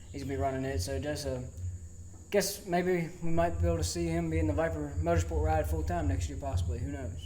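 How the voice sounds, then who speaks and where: A man with an American accent talks at a very fast pace in a very deep, low pitch with ordinary pitch variation. Noticeable background noise and audible room echo surround him. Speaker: racing podcast co-host. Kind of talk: recorded voice-over recap; casual chat. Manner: stutter.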